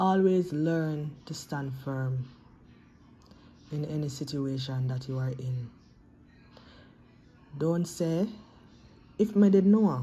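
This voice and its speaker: A woman talks at a very slow pace in a very deep, low pitch with ordinary pitch variation. Faint music plays in the background. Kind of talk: motivational vlog message. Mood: earnest, encouraging. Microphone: phone near.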